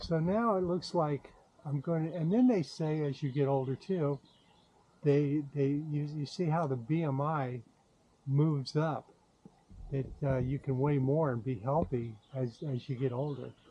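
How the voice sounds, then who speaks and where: Delivered at a fairly slow pace, the voice is somewhat breathy with a dark, mellow tone and ordinary pitch variation. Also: man, fairly high pitch for a man. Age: 70s. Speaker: YouTuber sharing diet experience. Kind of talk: casual vlog monologue. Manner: halting, with many fillers.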